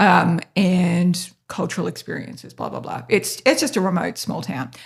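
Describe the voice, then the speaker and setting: With an Australian accent and some vocal fry, a woman at medium pitch speaks at a moderate pace on a very clean recording with a silent background. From North Queensland, Australia. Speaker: podcast host, business owner. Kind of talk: casual interview chat. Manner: hesitant, many fillers.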